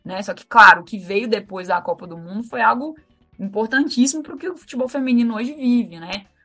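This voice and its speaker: Over music in the background, a woman speaks fairly quickly at fairly high pitch, with lively intonation and big swings in loudness. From Minas Gerais, Brazil. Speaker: lawyer and women's football coordinator. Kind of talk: podcast interview.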